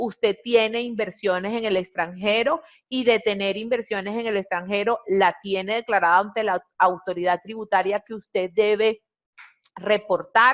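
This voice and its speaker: Dry and close with no echo, a woman with a plain, everyday voice speaks at a medium pitch and fairly slow pace with fairly even intonation. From Venezuela. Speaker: compliance trainer. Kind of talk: webinar presentation. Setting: online webinar.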